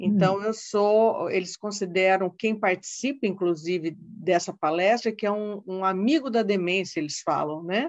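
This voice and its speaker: An unremarkable speaking voice at a moderate pace, with ordinary pitch variation, hardly any pauses and a quiet background. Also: woman, medium pitch for a woman. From Brazil, Paraná (Londrina). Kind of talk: informative interview.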